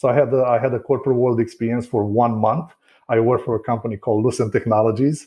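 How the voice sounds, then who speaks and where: Speaking very fast in a Romanian accent, a man's somewhat breathy voice sits at a medium pitch. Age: 40s. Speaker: real estate broker. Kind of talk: podcast interview.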